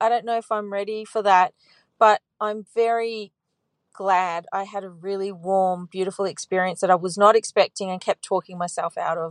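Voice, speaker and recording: A woman's plain, everyday voice at a moderate pace, dry and close with no echo, over a quiet background. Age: 40s. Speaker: caller. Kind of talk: voicemail.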